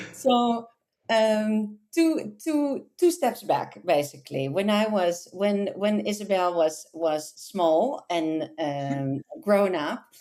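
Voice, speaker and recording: At a very slow pace and with hardly any pauses, a woman with a Dutch accent speaks in a dark, mellow tone at a medium pitch, her pitch swinging very widely. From Netherlands. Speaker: localization manager. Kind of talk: interview. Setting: podcast. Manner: hesitant, many fillers.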